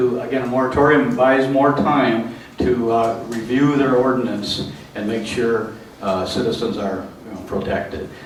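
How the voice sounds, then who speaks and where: Noticeable background noise and audible room echo surround this recording. A man talks at a medium pitch with fairly even intonation. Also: moderate pace. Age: 60s. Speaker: meeting organizer. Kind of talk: public meeting address. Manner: halting, many fillers.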